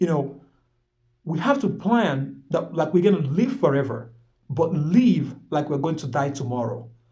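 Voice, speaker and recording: A man talks with a dark, mellow tone and lively intonation. The room echo is audible. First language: not English. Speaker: motivational vlogger, aspiring life coach. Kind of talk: motivational monologue. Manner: halting, repeating words.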